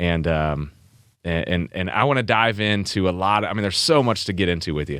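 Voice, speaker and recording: This man has a very deep, low voice and a Midwestern American accent. He talks at a fairly quick pace with ordinary pitch variation in a very clean recording with a silent background. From St. Louis. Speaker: podcast host, former baseball player. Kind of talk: podcast interview.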